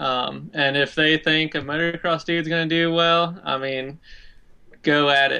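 A man speaks at a fairly slow pace with fairly even intonation. His tone is bright and sharp against a quiet background. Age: 20s. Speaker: off-road motorcycle racer. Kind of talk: casual chat.

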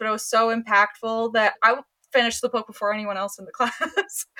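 A woman with an American accent has an unremarkable speaking voice, fairly high in pitch and at a moderate pace. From US South, Georgia. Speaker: author and book editor. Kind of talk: interview.

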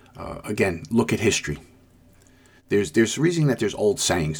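A man races along at a very fast pace with very wide pitch swings. His fairly low voice is somewhat breathy. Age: 60s. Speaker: podcast host, police lieutenant. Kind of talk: solo commentary monologue.

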